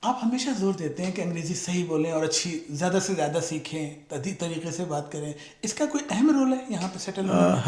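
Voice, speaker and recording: With lively intonation and a high pitch, a man talks over noticeable background noise. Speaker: vlogger, interviewer. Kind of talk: interview questions.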